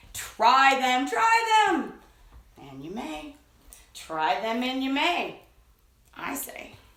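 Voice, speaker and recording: In a put-on character voice, a woman speaks at a high pitch and a very slow pace. Long, frequent pauses break her speech, and there is slight echo. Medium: read story. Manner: insistent, wheedling.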